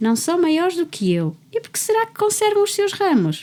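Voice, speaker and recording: Putting on a squeaky character voice, a woman talks at an extremely high pitch and a moderate pace. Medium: read story. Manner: eager, yearning.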